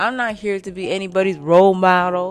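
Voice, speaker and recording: Music plays in the background. A woman speaks in an animated tone at a medium pitch. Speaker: podcast host, self-help speaker. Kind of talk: motivational monologue.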